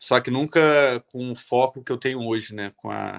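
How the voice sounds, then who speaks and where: A man with a Rio de Janeiro accent at medium pitch and a fairly slow pace, on a very clean, dry, close recording with no echo and a silent background. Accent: carioca. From Rio de Janeiro, Brazil. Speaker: illustrator and artist. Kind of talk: talk at event. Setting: stage at event.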